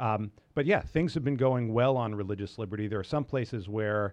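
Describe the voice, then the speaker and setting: In a quiet background, a man with an American accent speaks at medium pitch with ordinary pitch variation, in an unremarkable speaking voice. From US Northeast (New York). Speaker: lawyer and law professor. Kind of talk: interview.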